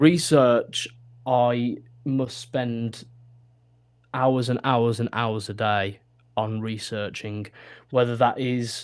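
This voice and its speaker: This man talks at a medium pitch and a very slow pace, with long, frequent pauses and fairly even intonation. The recording is very clean, with a silent background. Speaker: wrestling ring announcer and commentator, football pitch-side announcer, esports host. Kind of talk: interview answer.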